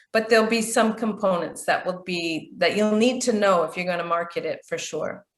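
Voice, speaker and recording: A woman with a Canadian accent and a plain, everyday voice, fairly high in pitch, at a fairly quick pace with lively intonation. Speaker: business trainer, chamber of commerce president. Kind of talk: training session.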